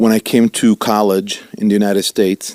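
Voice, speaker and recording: A man's monotone, flat delivery in an Italian accent, dry and close with no echo. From Italy, Milan. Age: 50s. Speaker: rabbi. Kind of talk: interview.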